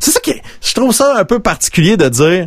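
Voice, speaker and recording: A man with a Quebec accent and very wide pitch swings. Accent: Québécois French. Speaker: radio-style podcast host. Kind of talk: casual live show chat. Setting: video call.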